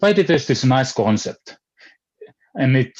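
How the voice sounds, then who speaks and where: This is a man speaking. He has a Finnish accent. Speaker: philosopher. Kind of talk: panel discussion. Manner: halting.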